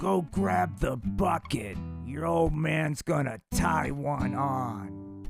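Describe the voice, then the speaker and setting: A man performs a cartoonish character voice, raspy and fairly low in pitch, at a very slow pace. His pitch swings very widely as faint music plays in the background. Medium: puppet show. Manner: gruff, boozy.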